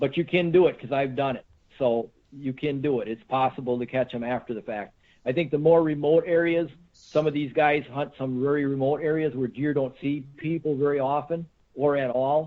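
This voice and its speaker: A man with an American accent speaks at a moderate pace and a fairly high pitch. His intonation is fairly even, and his is an unremarkable speaking voice. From Central Wisconsin. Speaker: deer hunter, tracker. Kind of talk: podcast interview. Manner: casual, many fillers and repeats.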